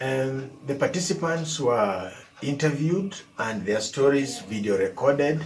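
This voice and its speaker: Music plays in the background as a man speaks with a Kenyan accent. His pace is fairly slow and his intonation lively. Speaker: evaluator. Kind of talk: presentation to camera.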